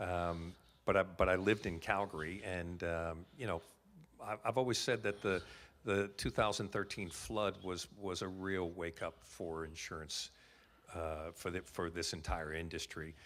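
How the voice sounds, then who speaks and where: In an American accent, a man speaks at a moderate pace with a very deep, low pitch. His intonation is fairly even, and the recording is very clean with a silent background. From United States. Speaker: insurance claims company executive. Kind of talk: podcast interview. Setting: live podcast booth at a convention. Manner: halting, many repetitions.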